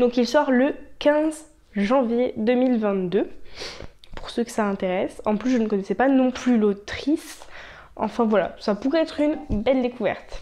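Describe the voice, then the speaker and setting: A woman speaks fairly slowly, her high voice showing ordinary pitch variation. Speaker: booktuber. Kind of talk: casual talk to camera.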